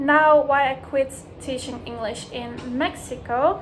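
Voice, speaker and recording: Over noticeable background noise, a woman speaks with a Dutch accent and fairly even intonation. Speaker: language teacher, vlogger. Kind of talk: casual vlog monologue. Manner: conversational with many fillers.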